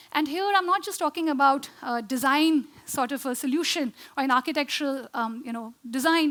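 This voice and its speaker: At a fairly quick pace, a woman with a high voice speaks with ordinary pitch variation. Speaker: architect and social design founder. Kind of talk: conference talk. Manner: fast; hesitant with many fillers.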